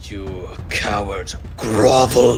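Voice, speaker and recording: In a put-on character voice, a man sounds raspy and booming at a fairly low pitch, with clear background noise behind him. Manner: commanding, domineering.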